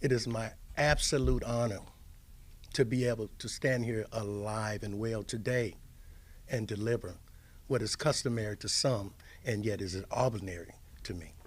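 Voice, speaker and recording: With an American accent, a man talks at a moderate pace and medium pitch, using fairly even intonation and long, frequent pauses amid audible room echo. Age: 60s. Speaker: death row exoneree and advocacy chairman. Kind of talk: press conference speech. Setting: press conference with audience.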